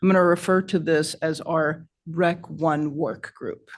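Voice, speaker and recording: A woman's fairly low voice with ordinary pitch variation against a quiet background, a normal speaking voice. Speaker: environmental scientist presenting to a board. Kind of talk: presentation at a public meeting.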